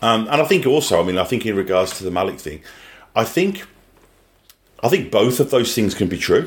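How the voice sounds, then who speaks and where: A man with a Birmingham accent talks very fast with ordinary pitch variation. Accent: British English, Birmingham. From English Midlands. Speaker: podcast co-host. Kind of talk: casual chat.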